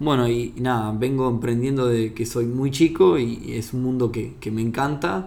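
Room echo is audible. A man speaks with fairly even intonation. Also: medium pitch for a man, moderate pace. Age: 30s. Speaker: engineer and entrepreneur. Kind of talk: casual interview. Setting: at a table at home. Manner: halting, many repetitions.

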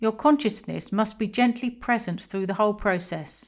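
A woman talks at a moderate pace with an English accent and ordinary pitch variation. The recording is very clean, with a silent background. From England. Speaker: podcaster on astral projection. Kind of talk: scripted narration.

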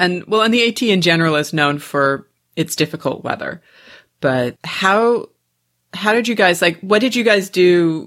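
An unremarkable speaking voice from a woman, fairly low in pitch, with lively intonation, a fairly slow pace and very even loudness, on a very clean recording with a silent background. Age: 40s. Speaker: podcast host. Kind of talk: casual interview chat.

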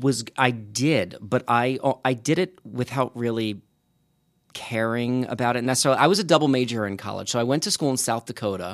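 Very clean recording, silent background. A man with a plain, everyday voice speaks at a fairly quick pace, medium in pitch, with ordinary pitch variation. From Long Island, New York. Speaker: podcaster and writer. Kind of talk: interview.

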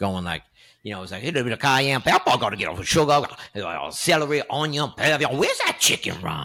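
A man with a New York accent, very fast and animated, his bright, sharp tone edged with vocal fry. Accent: New York (Queens). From Woodside, Queens, New York City. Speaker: actor and comedian. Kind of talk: casual interview chat. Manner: animated storytelling with many fillers.

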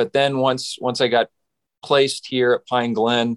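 A medium-pitched man with a Western Canadian accent at a moderate pace, in a dry, close sound with no echo and a very clean recording with a silent background. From Saskatchewan, Western Canada. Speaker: pastor. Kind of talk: interview.

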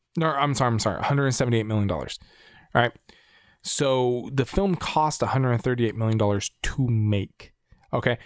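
A man uses a normal speaking voice at medium pitch and a fairly quick pace, on a very clean recording with a silent background. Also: ordinary pitch variation. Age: 30s. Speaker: film podcast co-host. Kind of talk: casual chat.

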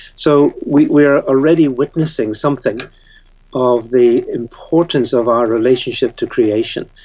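A man with a Northern Irish accent, fairly high in pitch, at a moderate pace, with fairly even intonation and very even loudness. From Northern Ireland. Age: 70s. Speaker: theologian and author. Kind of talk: interview.

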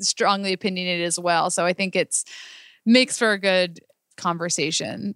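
A woman with an unremarkable speaking voice talks at a moderate pace and a medium pitch, with a dry, close sound and no echo. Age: 20s. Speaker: business owner. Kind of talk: casual chat. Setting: office.

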